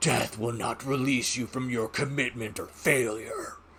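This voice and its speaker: A man growls in a booming, put-on character voice at medium pitch, with clear background noise behind him. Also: moderate pace. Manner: menacing.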